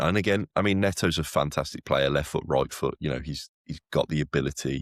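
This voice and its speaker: A man with very deep, low pitch and vocal fry talks at a fairly quick pace with fairly even intonation, in a dry, close sound with no echo. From West Midlands, Wolverhampton. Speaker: podcast co-host. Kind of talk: casual chat.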